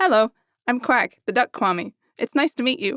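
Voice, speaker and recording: A woman's put-on character voice, high-pitched, at a moderate pace. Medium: read story.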